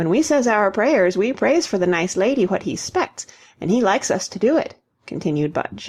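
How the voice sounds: Someone reads in a natural reading voice with lively intonation, set against a quiet background.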